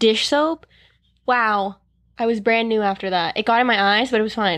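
A woman with a Canadian accent has a normal speaking voice, fairly high in pitch with ordinary pitch variation. She talks at a moderate pace against a quiet background. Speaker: podcast co-host. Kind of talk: casual chat. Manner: playful, laughs often.

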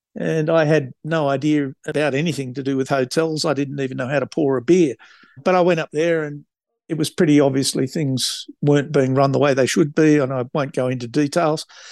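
A man speaks at a fairly quick pace in a fairly high pitch, with a dry, close sound, no echo and a quiet background. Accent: Australian. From Australia, New South Wales. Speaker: travel company founder. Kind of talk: interview. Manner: casual, many fillers.

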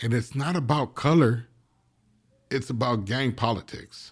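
A man's medium-pitched voice with an American accent and ordinary pitch variation, in a very clean recording with a silent background. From East Los Angeles. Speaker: former gang member. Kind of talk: casual interview.

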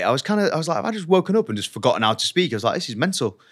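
A man with a Yorkshire accent and very wide pitch swings. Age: 30s. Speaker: actor. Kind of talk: casual chat. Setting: studio.

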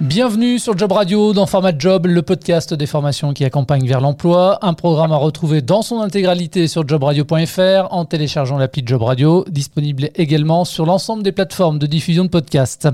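Over noticeable background noise, a man with a fairly high pitch talks at a moderate pace with hardly any pauses, very even loudness and ordinary pitch variation. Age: 40s. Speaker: radio podcast host. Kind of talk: radio interview. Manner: formal.

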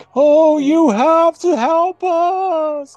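The speaker uses a put-on character voice. It sits at an extremely high pitch. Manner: pleading.

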